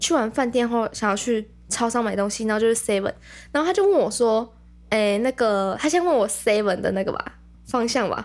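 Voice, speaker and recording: A woman is speaking. Her pace is fairly quick. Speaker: podcast co-host. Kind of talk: casual chat.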